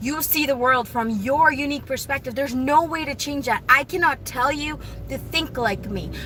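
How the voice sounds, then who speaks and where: A woman speaks in a raised, projected voice with a high pitch and fairly even intonation. Her pace is moderate, with noticeable background noise. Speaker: vlogger. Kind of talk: casual monologue. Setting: in a car. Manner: rambling with self-corrections.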